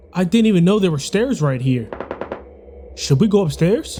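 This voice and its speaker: A man speaks with a high pitch and lively intonation. Music plays in the background. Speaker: gaming streamer. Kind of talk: let's play commentary; reading aloud. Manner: quiet and tense.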